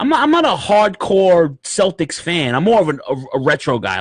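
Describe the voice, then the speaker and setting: Recorded with a dry, close sound and no echo, a man with a fairly high pitch and vocal fry makes very wide pitch swings. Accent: New York. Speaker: podcast host. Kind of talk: casual chat. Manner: animated.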